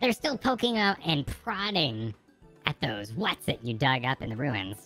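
In a put-on character voice, a female-sounding speaker makes very wide pitch swings over faint background music. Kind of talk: comic game-dialogue read-along. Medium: game stream. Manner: bossy, impatient, cocky.

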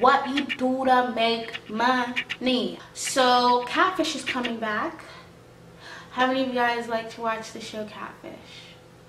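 Over noticeable background noise, a woman with a high voice speaks very slowly in a fairly even intonation. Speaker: vlogger. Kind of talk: casual vlog talking to camera. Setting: home, background noise from housemate and dogs. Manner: informal, rambling, emotional. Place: home room. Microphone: phone near.

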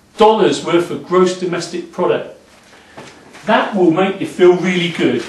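A man's voice carries audible room echo. Light background noise sits underneath. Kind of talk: casual explanatory talk. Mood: enthusiastic, upbeat. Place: office. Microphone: camera far.

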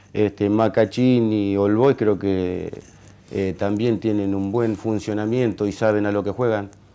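A man talks at a fairly slow pace in a fairly low voice, his tone dark and mellow and his intonation flat and monotone. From Argentina. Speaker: football player. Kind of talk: interview. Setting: studio. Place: studio.

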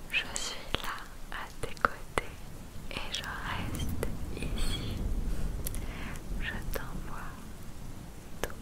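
A woman speaks very slowly, leaving long, frequent pauses. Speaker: ASMR creator. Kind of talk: ASMR positive affirmations. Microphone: studio mic.

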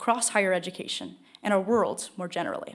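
A woman is speaking. Her pace is fairly quick, and the background is quiet. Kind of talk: formal event introduction. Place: hall. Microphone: podium.

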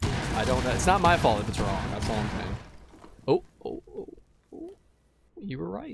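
A man talks at a moderate tempo while music plays in the background. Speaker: gaming streamer. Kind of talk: casual chat. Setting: online voice chat. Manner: animated.

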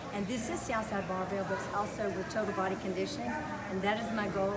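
A woman talking at a very fast pace over loud background noise. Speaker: personal trainer. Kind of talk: interview answer. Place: gym. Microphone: phone near.

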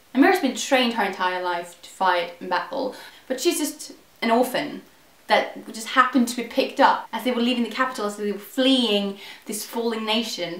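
Over noticeable background noise, a woman talks at a fairly quick pace in a fairly high pitch, her intonation lively and her loudness swinging widely. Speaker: book reviewer. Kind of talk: casual book review to camera.

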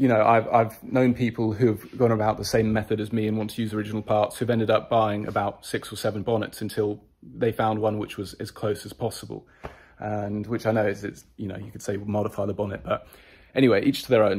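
A man's fairly low voice with monotone, flat intonation. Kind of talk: casual vlog chat. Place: garage. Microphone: phone near.

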